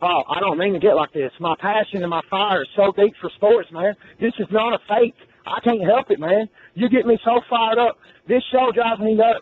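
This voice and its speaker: A loud man at a high pitch, fairly quick pace and ordinary pitch variation. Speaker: sports radio caller. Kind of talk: heated sports call-in argument. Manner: loud, ranting.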